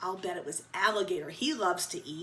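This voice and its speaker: A raspy, put-on character voice at a very fast pace. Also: woman. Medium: read story.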